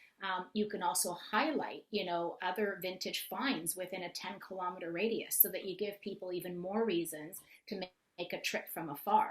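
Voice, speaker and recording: Her intonation is fairly even as this woman talks at a moderate pace. Her pitch sits in the medium range. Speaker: marketing consultant. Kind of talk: webinar presentation. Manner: loud. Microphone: too quiet.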